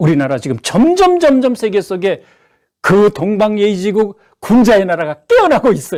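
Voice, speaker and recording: An animated man speaks at a moderate pace, his pitch swinging very widely. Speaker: religious lecturer, former head of religious order. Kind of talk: lecture.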